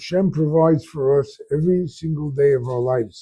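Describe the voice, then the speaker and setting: A man with an American accent talks at a moderate pace in a fairly high pitch, with ordinary pitch variation. His tone is dark, mellow and somewhat breathy, in a very clean recording with a silent background. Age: 70s. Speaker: rabbi. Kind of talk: Torah class talk. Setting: small synagogue with audience.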